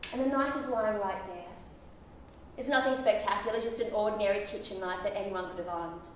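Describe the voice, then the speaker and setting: A woman at a very fast pace with ordinary pitch variation, light background noise and audible room echo. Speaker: actor performing a monologue; actor performing monologue. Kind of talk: theatrical monologue, confessional and intense, spoken straight to a listener. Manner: accusatory and defensive at first, then haunted and guilt-ridden. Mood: tense, grave storytelling. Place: stage.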